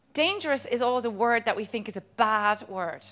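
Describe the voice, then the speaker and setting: A woman with an Irish accent and a fairly high pitch speaks at a moderate pace in a very clean recording with a silent background. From Ireland. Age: 30s. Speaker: motivational speaker. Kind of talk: motivational talk. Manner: animated.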